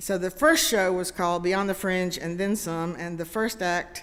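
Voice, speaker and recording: There is audible room echo as a woman speaks in a medium pitch. Her intonation is fairly even, in a Southern US accent. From US South, Greenville, South Carolina. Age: 70s. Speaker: comedian. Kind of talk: talk to a congregation. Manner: halting, many fillers.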